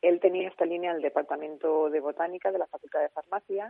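Here a woman with an ordinary speaking voice and fairly low pitch talks at a fairly quick pace with fairly even intonation. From Spain, Alicante. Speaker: author of a book on medicinal plants. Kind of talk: radio interview.

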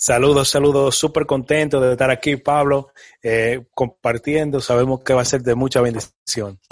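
At a moderate pace, a man speaks with very even loudness and monotone, flat intonation. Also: medium pitch for a man. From Dominican Republic, moved to New York around age 10. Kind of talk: casual interview chat.

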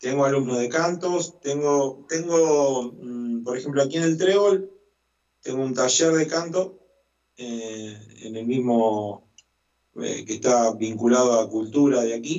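A man's medium-pitched voice in a Rioplatense accent, very slow in pace, with ordinary pitch variation. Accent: Argentine Spanish (rioplatense). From Argentina, Santa Fe province. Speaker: musician and choir director. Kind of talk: interview. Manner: hesitant, many fillers.

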